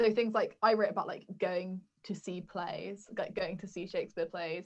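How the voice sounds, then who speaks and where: With big swings in loudness, a woman speaks at a moderate pace in a monotone, flat intonation. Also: medium pitch for a woman. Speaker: university student, podcast co-host. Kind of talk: casual chat. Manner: loud, talkative.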